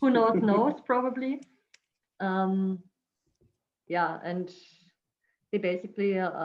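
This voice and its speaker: Speaking very slowly with long, frequent pauses, a woman with a non-native accent uses a medium pitch and ordinary pitch variation. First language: not English. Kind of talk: product presentation on video call panel. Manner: halting, many fillers.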